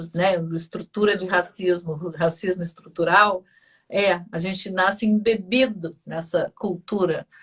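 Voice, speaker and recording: Somewhat breathy at a medium pitch, a woman talks at a fairly slow pace. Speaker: radio host. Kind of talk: interview. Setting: studio. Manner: animated.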